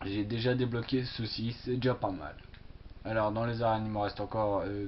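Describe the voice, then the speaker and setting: A man at a medium pitch, moderate in pace, with monotone, flat intonation. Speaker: gaming youtuber. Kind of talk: gameplay commentary. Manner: hesitant, many fillers.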